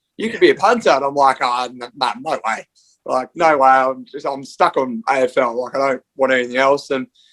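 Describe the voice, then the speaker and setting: With an Australian accent, a man speaks at a fairly quick pace and medium pitch with ordinary pitch variation, in a dry, close sound with no echo. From Western Australia. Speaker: American football punter. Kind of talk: podcast interview.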